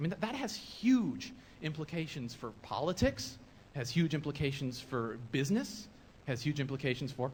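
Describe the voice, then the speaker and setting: Somewhat breathy, this man speaks with an American accent. His pitch is fairly high and swings very widely. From Nebraska, US Midwest. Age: 20s. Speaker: video blogger. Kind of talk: conference presentation. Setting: stage with audience. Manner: animated.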